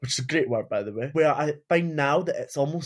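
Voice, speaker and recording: With a Scottish accent, the somewhat breathy voice moves at a moderate pace. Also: man. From Scotland. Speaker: podcast guest, furry and leather community member. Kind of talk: casual chat.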